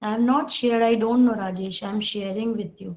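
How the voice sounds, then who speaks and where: A woman's fairly high-pitched voice. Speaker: software trainer. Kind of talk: online training class. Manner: slow.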